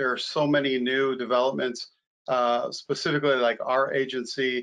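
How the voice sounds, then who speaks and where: A man talks at a moderate pace against a quiet background. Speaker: evidence management co-instructor. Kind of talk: online training lecture. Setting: online video session. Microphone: video call.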